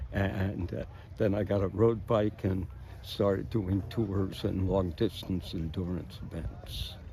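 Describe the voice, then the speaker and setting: Somewhat breathy and dark, mellow in tone, a man speaks very slowly at a fairly low pitch with fairly even intonation. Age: 90s. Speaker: cyclist. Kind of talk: street interview.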